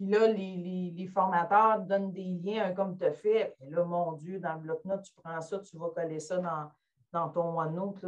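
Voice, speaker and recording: In a Quebec accent, a woman speaks at a fairly slow pace and fairly low pitch, with fairly even intonation and big swings in loudness. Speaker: educator attending webinar. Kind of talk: webinar discussion. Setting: video call.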